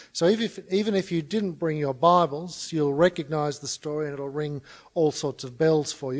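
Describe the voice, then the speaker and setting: Moderate pace and ordinary pitch variation against a quiet background. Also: man. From Australia. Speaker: conference speaker on mission. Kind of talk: conference talk. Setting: stage with audience. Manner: humorous. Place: hall. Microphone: podium.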